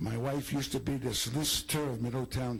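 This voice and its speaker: A man speaks at medium pitch with fairly even intonation. His voice is somewhat breathy. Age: 80s+. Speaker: retired teacher and school administrator. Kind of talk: public comment.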